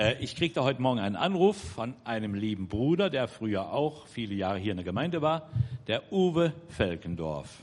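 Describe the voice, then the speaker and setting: The man's pitch is medium and swings very widely. His pace is moderate. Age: 60s. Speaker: church member, twin brother of the preacher. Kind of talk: church announcement.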